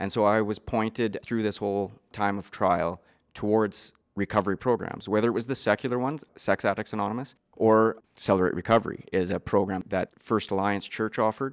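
Over a silent background in a very clean recording, a man with a western Canadian accent talks at a fairly quick pace, his fairly low voice holding a fairly even intonation. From Canada, east central Alberta. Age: 30s. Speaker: recovering addict sharing his story. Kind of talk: testimony. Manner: talkative.

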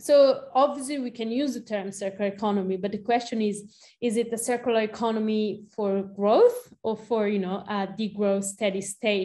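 A woman with an Italian accent, fairly high-pitched with a dark, mellow tone, fairly even intonation, a moderate pace and hardly any pauses. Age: 30s. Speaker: researcher and activist. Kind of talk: interview.

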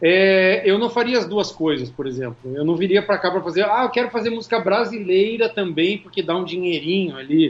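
A man's high voice at a fairly quick pace, with lively intonation and hardly any pauses. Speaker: singer and music producer. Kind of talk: casual interview chat.

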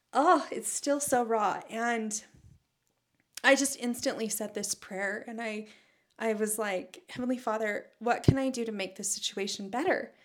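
A woman's normal speaking voice, fairly high in pitch and fairly slow, with ordinary pitch variation. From Utah, Salt Lake Valley. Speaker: former TV news reporter and anchor. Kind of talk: casual interview conversation.

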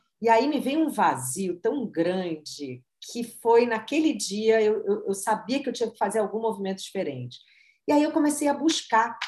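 Lively intonation and a moderate pace from a woman with a plain, everyday voice. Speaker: marketing consultant and author. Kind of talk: interview, personal story.

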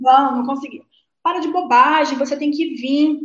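A woman speaks in a high pitch. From Rio de Janeiro, Brazil (Leme). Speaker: guest telling her aviation life story, co-creator of an aviation channel. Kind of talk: interview on a live stream. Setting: online live stream with chat.

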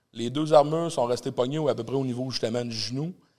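A man's medium-pitched voice carries a dark, mellow tone and ordinary pitch variation. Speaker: doorman and entrepreneur. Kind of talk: casual chat. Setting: studio with live audience.

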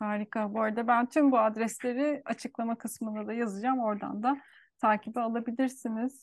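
A somewhat breathy woman with a fairly high pitch talks at a fairly quick pace, with a dry, close sound, no echo and a quiet background. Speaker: podcast host. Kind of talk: interview conversation. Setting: video call.

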